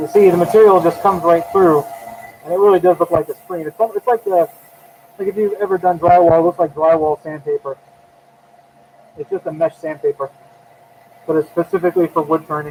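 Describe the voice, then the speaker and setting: Speaking at a fairly quick pace with long, frequent pauses, a man with a high pitch is heard in a dry, close sound with no echo amid noticeable background noise. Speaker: woodturner. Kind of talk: live tutorial. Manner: casual.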